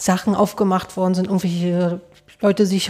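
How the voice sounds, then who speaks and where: A woman's dark, mellow voice at a medium pitch, monotone and flat in intonation, at a moderate pace on a very clean recording with a silent background. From East Germany. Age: 30s. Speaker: podcast host. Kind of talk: casual interview. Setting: studio.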